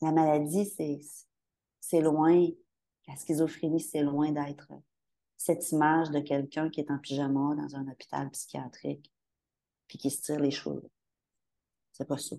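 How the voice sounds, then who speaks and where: A woman's very deep, low voice with a Quebec accent, dark and mellow in tone, very slow in pace and flat, monotone in intonation. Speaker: bereaved mother of adults with mental illness. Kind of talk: testimony.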